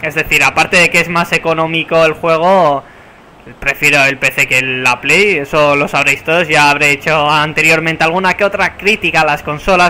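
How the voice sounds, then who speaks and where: A man with a fairly high pitch speaks in an animated tone at a very even loudness. Noticeable background noise is present. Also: moderate pace. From San Sebastián, Basque Country, Spain. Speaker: gaming YouTuber. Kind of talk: casual gameplay commentary. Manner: animated, play-by-play commentary.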